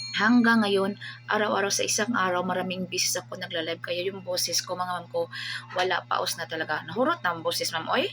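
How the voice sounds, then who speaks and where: Against noticeable background noise, a woman talks very fast at a medium pitch with lively intonation. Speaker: online seller and livestreamer. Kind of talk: casual vlog talk to viewers. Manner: animated.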